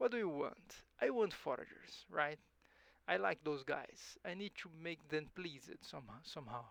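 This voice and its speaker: A man with a Portuguese accent talks at a moderate pace, his fairly high pitch making very wide swings. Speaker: gaming YouTuber. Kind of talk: gameplay commentary. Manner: halting, frequent self-repetition; casual, reads game text aloud and reacts.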